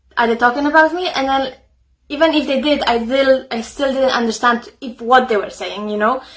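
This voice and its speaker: A woman at a high pitch, fairly quick pace and ordinary pitch variation. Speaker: psychotherapist and author. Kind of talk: casual talk to camera. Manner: halting, many fillers.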